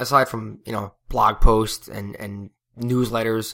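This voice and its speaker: A man mumbles at a medium pitch. The recording is very clean, with a silent background. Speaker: podcast host and float center owner. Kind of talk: casual solo podcast monologue. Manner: hesitant, many fillers and mumbles.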